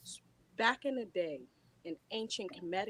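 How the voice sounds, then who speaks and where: A woman at medium pitch speaks with lively intonation. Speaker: podcast panel guest. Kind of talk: casual chat. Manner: quiet. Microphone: too quiet.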